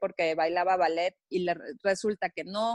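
Speaking with a Mexican accent, a woman talks at a fairly slow pace. The background is quiet, and the sound is dry and close, with no echo. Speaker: podcast host. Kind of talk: casual chat.

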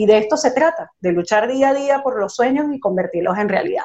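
A woman in a Venezuelan accent, lively in intonation, at a moderate pace. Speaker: radio host. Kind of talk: radio interview. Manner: warm, enthusiastic.

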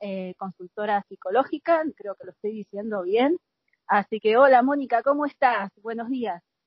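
Lively intonation marks an ordinary speaking voice delivered at a moderate pace. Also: woman, fairly high pitch for a woman. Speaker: podcast host. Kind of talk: interview.

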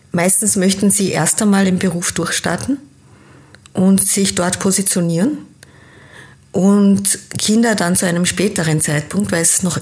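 A woman of medium pitch talks at a fairly slow pace, somewhat breathy, with ordinary pitch variation. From Austria, teen years in Kenya. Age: 50s. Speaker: business coach. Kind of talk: interview.

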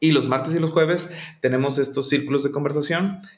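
With audible room echo, a man talks at a moderate pace in a fairly high pitch. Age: 40s. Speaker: English teacher. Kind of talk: casual chat.

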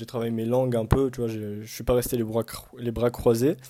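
At a moderate pace, a man with a dark, mellow tone speaks on a very clean recording with a silent background. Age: 20s. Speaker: student. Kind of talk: casual chat.

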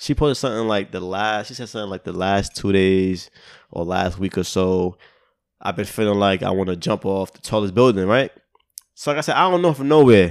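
In an ordinary speaking voice, a man talks at a fairly quick pace and fairly low pitch, with ordinary pitch variation. His loudness swings widely, and the recording is very clean with a silent background. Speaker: podcast host. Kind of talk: casual banter podcast conversation.

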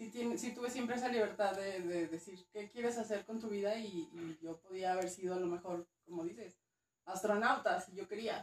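A woman speaks at a moderate pace in a plain, everyday voice, with ordinary pitch variation. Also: medium pitch for a woman. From northern Mexico, Durango. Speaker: archaeologist. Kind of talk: casual interview.

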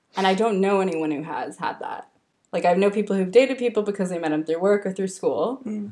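A woman with an American accent speaks very fast at a medium pitch, her dark, mellow tone carrying ordinary pitch variation. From California. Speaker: podcast host, journalist. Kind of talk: casual chat.

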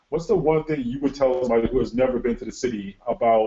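In an American accent, a man with an unremarkable speaking voice talks at a medium pitch with ordinary pitch variation. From Connecticut. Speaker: semi-pro football podcast host. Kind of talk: casual sports podcast interview.

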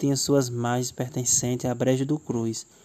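In a dark, mellow tone, a man speaks at a fairly slow pace with a medium pitch and monotone, flat intonation. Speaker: teacher. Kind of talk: local history talk.

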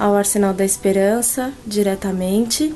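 A woman's very slow speech over noticeable background noise. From Brazil. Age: 30s. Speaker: French teacher. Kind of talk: testimony.

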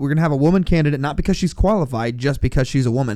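A dark, mellow tone at a very fast pace. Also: man. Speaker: returning co-host. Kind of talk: casual banter podcast chat. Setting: studio.

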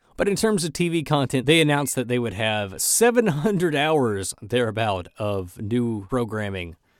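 A man speaks at a moderate pace and a medium pitch with hardly any pauses. His pitch swings very widely. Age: 30s. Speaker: podcast co-host. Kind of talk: casual chat.

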